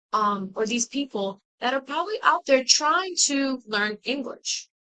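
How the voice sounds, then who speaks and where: A woman with a Spanish accent projects a raised, high-pitched voice with a bright, sharp tone, recorded in a dry, close sound with no echo. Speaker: college student. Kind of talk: class presentation. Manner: hesitant, with fillers.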